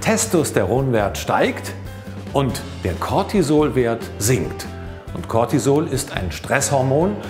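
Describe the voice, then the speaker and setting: Over clear music in the background, a man at medium pitch speaks very slowly, with very wide pitch swings and long, frequent pauses. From Cologne, Germany. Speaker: professional voice actor and stage-fright coach. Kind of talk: motivational tip talk to camera.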